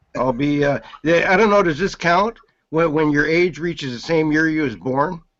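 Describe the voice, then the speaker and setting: A man talks in a plain, everyday voice. He keeps a moderate pace and ordinary pitch variation. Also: fairly high pitch for a man. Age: 50s. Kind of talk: casual chat.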